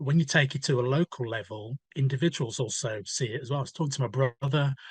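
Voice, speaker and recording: The sound is dry and close with no echo and a quiet background as a somewhat breathy man speaks at a fairly quick pace, in a medium pitch with ordinary pitch variation. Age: 60s. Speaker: newspaper editor and author. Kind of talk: podcast interview.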